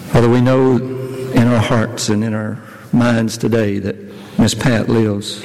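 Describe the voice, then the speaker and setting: A man's medium-pitched, monotone, flat voice at a fairly slow pace, with noticeable background noise. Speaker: elder leading prayer. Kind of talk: fervent prayer at a funeral-style church service, heartfelt and pleading. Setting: church. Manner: earnest, halting, with repeated words and pauses; solemn, tender, emotional.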